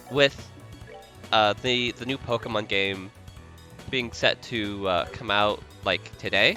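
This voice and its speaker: Music plays behind a man with a fairly low voice who talks very slowly, with ordinary pitch variation and long, frequent pauses. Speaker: video game streamer. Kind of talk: casual gameplay stream commentary.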